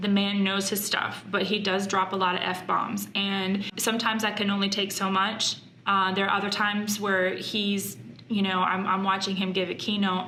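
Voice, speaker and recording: A woman speaks at medium pitch and a moderate pace in a monotone, flat delivery with very even loudness, with audible room echo and noticeable background noise. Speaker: YouTuber, mom and former wedding planner. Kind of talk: casual vlog talk to camera. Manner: halting, many fillers.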